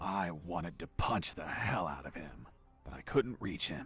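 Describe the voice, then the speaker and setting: Over clear background noise, a man does a raspy put-on character voice, very deep and low in pitch, with very wide pitch swings, big swings in loudness and a moderate pace. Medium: machinima. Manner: gruff, boastful.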